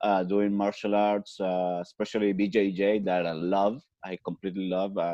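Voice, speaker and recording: A man with a Spanish accent, fairly low pitch, monotone, flat intonation and a moderate pace. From Chile. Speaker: podcast guest. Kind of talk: casual interview. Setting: video call. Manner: halting, hesitant English.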